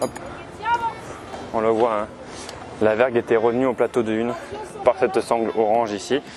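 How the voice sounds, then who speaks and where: Crowd noise fills the background as a man speaks at a medium pitch and moderate pace. His delivery is monotone and flat, with long, frequent pauses. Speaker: sailor filming ship restoration work. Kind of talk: on-site commentary. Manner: soft-spoken.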